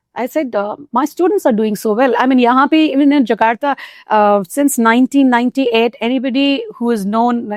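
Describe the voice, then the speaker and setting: Her pitch is high for a woman, and she has an Indian accent. She talks at a fairly quick pace with ordinary pitch variation. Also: dry, close sound with no echo. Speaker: Hindi teacher. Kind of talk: interview answer.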